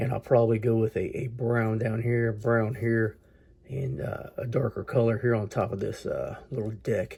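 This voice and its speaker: A man's medium-pitched voice, dark and mellow, somewhat breathy, monotone and flat, at a moderate pace. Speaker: model train hobbyist. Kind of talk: hobby tutorial. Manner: casual, halting with fillers.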